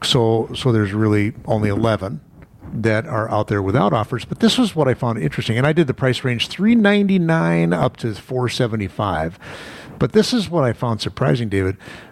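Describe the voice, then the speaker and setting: A man with an American accent speaks at a fairly quick pace, his medium-pitched, unremarkable speaking voice carrying lively intonation. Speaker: radio host. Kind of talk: radio host patter, chatty business talk show banter. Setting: radio studio broadcast. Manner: fast talking, upbeat, conversational with punchy asides.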